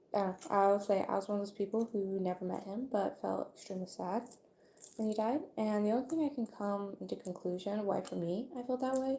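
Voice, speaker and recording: Quiet and fairly quick, a woman talks at a medium pitch in a dark, mellow tone. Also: ordinary pitch variation. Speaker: video creator. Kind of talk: casual livestream monologue. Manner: somewhat quiet.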